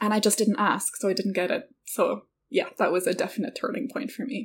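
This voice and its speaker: A woman's medium-pitched voice in an Irish accent at a fairly quick pace. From rural west of Ireland. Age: 30s. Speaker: entrepreneur. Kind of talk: casual interview.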